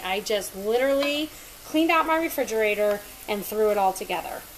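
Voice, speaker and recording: A woman speaks with ordinary pitch variation over light background noise. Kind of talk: casual cooking tutorial chat. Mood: relaxed, chatty. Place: kitchen. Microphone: camera far.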